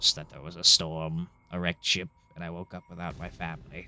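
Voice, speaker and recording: A man's put-on character voice, very deep and low in pitch, at a fairly quick pace. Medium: actual play. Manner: laconic, plainspoken.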